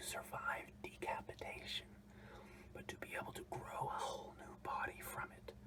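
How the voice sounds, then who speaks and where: Someone is whispering. There is noticeable background noise. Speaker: ASMR creator. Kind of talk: ASMR whispered random facts. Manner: whispered; casual, rambling.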